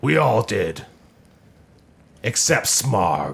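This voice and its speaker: A man is doing a put-on character voice. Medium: actual play. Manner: formal, stern.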